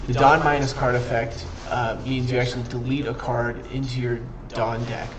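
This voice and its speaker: In a room with audible echo and noticeable background noise, a man speaks at a medium pitch and moderate pace in a monotone, flat delivery. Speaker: streamer teaching a card game. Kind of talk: livestream tutorial. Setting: live stream with chat. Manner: casual, self-correcting.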